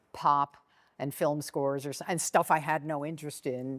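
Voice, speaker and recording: A woman with an American accent, on a very clean recording with a silent background and a dry, close sound with no echo. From Chevy Chase, Maryland. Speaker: baritone saxophonist, educator, composer, arranger. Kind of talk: interview answer.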